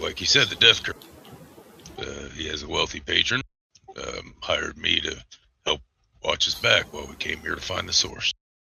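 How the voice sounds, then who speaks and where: A man puts on a raspy character voice at an extremely high pitch, speaking at a moderate pace with long, frequent pauses. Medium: actual play.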